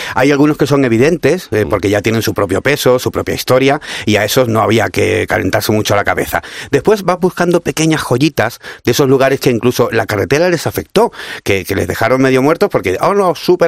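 A man talks at a fairly quick pace and medium pitch, with very wide pitch swings. His loudness stays very even, and the sound is dry and close with no echo. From Cádiz, Andalusia. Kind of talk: casual radio interview. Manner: animated.

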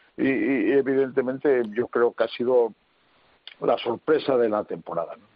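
At a fairly slow pace, a man talks with big swings in loudness. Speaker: handball coach. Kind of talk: radio panel discussion.

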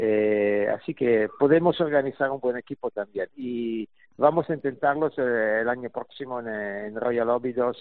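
Fairly slow, medium-pitched speech from a man, with ordinary pitch variation. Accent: Italian. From Italy. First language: Italian (speaking Spanish). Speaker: golf journalist and tournament organizer. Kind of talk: interview.

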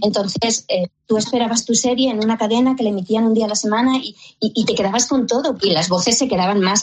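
A woman's fairly high voice with fairly even intonation, an unremarkable speaking voice. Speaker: voice actress. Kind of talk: radio interview.

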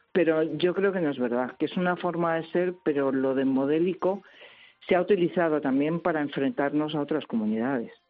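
Her pitch very deep and low, a woman talks at a fairly quick pace with lively intonation. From Madrid, Spain. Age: 60s. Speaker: translator and writer. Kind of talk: radio interview.

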